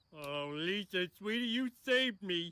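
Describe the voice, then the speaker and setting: A man's cartoonish character voice, pitched high. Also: moderate pace. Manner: slow, dopey.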